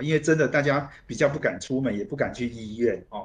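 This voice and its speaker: A man speaks in a medium pitch, somewhat breathy. The background is quiet. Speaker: radio host. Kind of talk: radio interview. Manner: frequent fillers and hesitations.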